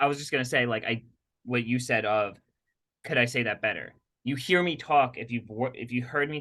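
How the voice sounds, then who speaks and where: With a quiet background, a man speaks at medium pitch in a bright, sharp tone. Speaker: podcast co-host, health practitioner working with patients. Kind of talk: casual conversational podcast chat. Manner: fast; animated.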